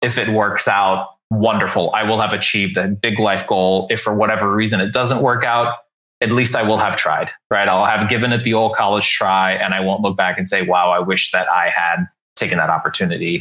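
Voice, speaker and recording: A man with an unremarkable speaking voice and an American accent, fairly low in pitch, at a fairly quick pace, with fairly even intonation and very even loudness. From US South, San Antonio, Texas. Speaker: author and leadership coach. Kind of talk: casual interview.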